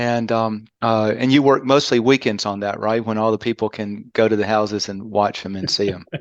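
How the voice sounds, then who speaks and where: A man with a Southern US accent at a fairly low pitch, flat and monotone in intonation, at a moderate pace with hardly any pauses. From US South, Birmingham, Alabama. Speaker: podcast host, marketing consultant. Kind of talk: casual chat.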